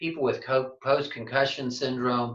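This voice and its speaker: This man talks at a fairly quick pace in an ordinary speaking voice, his pitch medium. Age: 60s. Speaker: physical therapy clinic owner. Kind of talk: presentation to clinicians.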